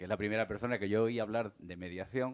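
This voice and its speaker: In an Andalusian accent, a man speaks at a fairly quick pace and fairly low pitch with ordinary pitch variation. The sound is dry and close, with no echo. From Cádiz, Andalusia. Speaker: mediator. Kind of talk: panel discussion.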